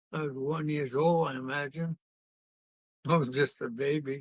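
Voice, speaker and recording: A man with a strong East Coast US accent, fairly high-pitched, monotone and flat, fairly slow, in a dry, close sound with no echo. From New England (New Bedford, Massachusetts). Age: 90s. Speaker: elderly relative interviewed about his life. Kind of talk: interview.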